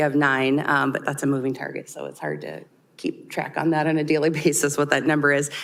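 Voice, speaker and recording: Audible room echo surrounds a woman's voice. She sounds very deep and low for a woman, with monotone, flat intonation. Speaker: city HR director. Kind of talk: budget presentation at council work session. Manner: loud.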